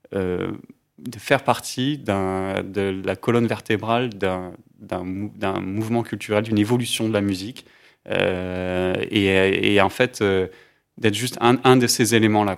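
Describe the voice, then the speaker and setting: On a very clean recording with a silent background, a man speaks very slowly in a fairly low pitch with fairly even intonation. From southeastern France (Alpes-Maritimes). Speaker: music label co-founder. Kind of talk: interview conversation. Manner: halting, many fillers.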